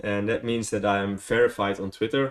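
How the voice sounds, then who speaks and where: A man speaks with a Dutch accent against a quiet background. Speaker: vlogger. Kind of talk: casual vlog, unscripted. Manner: hesitant, many fillers.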